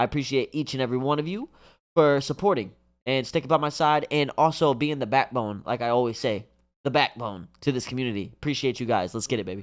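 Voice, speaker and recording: On a very clean recording with a silent background, a man speaks very fast at a medium pitch with ordinary pitch variation. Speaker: anime reaction youtuber. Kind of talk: casual reaction video chat. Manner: animated.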